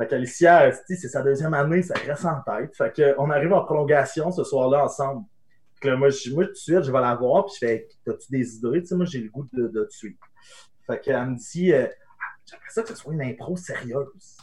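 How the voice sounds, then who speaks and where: A man with a fairly high pitch speaks at a moderate pace, his voice somewhat breathy and his pitch varying in an ordinary way. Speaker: podcast host. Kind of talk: casual chat. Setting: livestream on Twitch.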